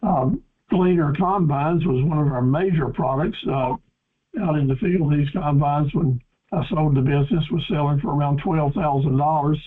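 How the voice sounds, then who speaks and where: With an eastern North Carolina accent, a man speaks at a fairly high pitch and a moderate pace. His loudness stays very even, and his pitch varies in an ordinary way. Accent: US Southern (eastern North Carolina). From North Carolina, Cumberland County. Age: 70s. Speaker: business coach and farm equipment dealer. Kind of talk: webinar presentation. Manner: folksy, with frequent fillers.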